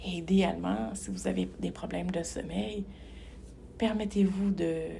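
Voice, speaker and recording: Audible echo from the room follows a woman's speech. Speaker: hypnotherapist. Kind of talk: guided meditation. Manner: calm, measured; slow, soft.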